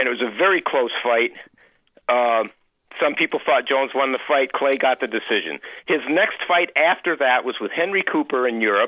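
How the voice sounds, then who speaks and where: Speaking at a moderate pace, a man with a normal speaking voice uses lively intonation at a fairly high pitch. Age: 60s. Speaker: caller. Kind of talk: radio call-in.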